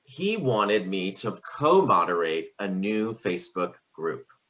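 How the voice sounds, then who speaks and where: A man speaks with a fairly low pitch and lively intonation. His tone is bright and sharp. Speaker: sociology professor. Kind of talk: keynote talk. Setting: video call.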